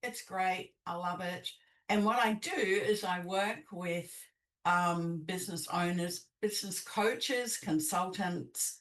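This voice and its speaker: Someone with a slight New Zealand accent speaks very slowly, keeping the intonation fairly even. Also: woman, medium pitch for a woman. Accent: slight New Zealand twang. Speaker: business coach. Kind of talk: podcast interview. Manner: hesitant, many fillers.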